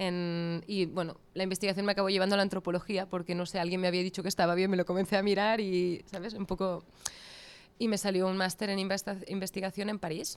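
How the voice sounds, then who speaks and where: A woman talks very fast at a medium pitch in a flat monotone. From Catalonia, Spain. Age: 30s. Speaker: coffee business founder. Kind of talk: interview conversation.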